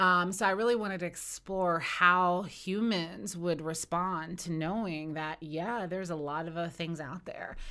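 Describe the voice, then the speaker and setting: A woman with an American accent has a bright, sharp tone and fairly low pitch. Her intonation is fairly even and her pace moderate. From West Virginia, Eastern Panhandle. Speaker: author. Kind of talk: casual interview.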